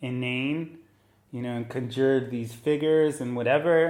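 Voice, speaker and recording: A man speaks at a fairly slow pace with an Israeli accent, his medium-pitched voice held to a flat, monotone intonation. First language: Hebrew. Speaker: neuroscientist. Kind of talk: casual chat. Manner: halting.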